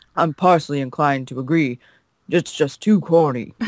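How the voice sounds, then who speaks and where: Booming, put-on character voice from a man, fairly high in pitch, at a moderate pace with ordinary pitch variation, in a dry, close sound with no echo. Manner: corny, booming.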